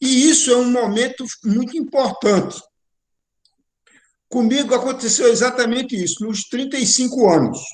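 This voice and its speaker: A man's extremely high voice at a moderate pace, with ordinary pitch variation, long, frequent pauses and audible room echo. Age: 70s. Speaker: spiritual course teacher. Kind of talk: online lecture.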